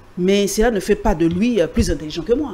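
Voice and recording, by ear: A woman's dark, mellow tone at a medium pitch, fast in pace with lively intonation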